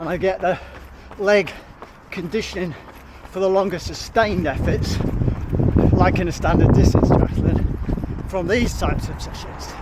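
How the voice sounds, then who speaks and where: A British accent over noticeable background noise. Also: man. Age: 60s. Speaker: amateur duathlete vlogger. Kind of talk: casual vlog monologue.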